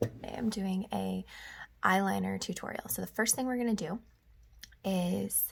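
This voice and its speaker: A woman talks quietly. Her pace is fairly slow. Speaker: makeup vlogger. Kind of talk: tutorial.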